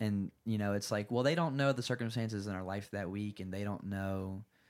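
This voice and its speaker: With an American accent and a normal speaking voice, a man talks at a fairly quick pace and fairly low pitch with ordinary variation, in a very clean recording with a silent background. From North Carolina. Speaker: worship leader. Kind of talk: casual chat. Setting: home studio.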